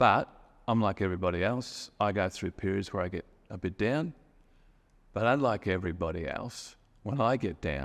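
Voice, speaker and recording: A man with an Australian accent, lively intonation, moderate pace and long, frequent pauses, in a very clean recording with a silent background. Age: 50s. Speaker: storyteller sharing a personal memory. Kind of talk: personal testimony. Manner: casual with hesitations.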